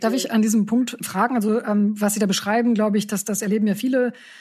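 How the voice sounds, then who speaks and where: The speech moves at a fairly quick pace, somewhat breathy and monotone, with flat intonation. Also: woman, quiet background. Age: middle-aged. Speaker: podcast host, news editor-in-chief. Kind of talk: interview.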